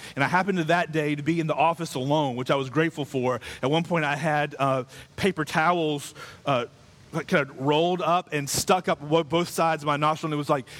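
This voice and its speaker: Using an ordinary speaking voice, a man talks at a fairly quick pace with a fairly high pitch and fairly even intonation. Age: 30s. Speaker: pastor. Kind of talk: sermon.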